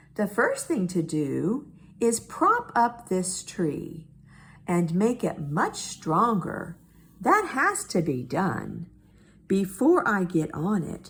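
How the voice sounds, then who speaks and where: A female-sounding voice performs a put-on character voice at a middle pitch. The delivery moves at a very slow pace. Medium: read story. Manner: earnest, good-natured.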